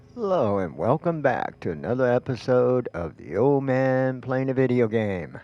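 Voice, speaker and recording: Noticeable background noise sits behind a man speaking at medium pitch with lively intonation. He keeps a moderate pace with hardly any pauses. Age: old. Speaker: gaming video creator. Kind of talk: casual gameplay commentary. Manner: hesitant, many fillers.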